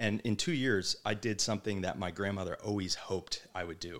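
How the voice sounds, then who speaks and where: On a very clean recording with a silent background, a man speaks with a New Jersey accent at a fairly quick pace. His pitch is fairly low, with ordinary variation. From New Jersey, Manasquan. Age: 40s. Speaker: restaurant owner. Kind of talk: casual interview.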